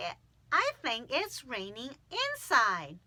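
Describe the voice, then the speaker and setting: A woman speaks at a very slow pace in a put-on character voice pitched high. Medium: read story.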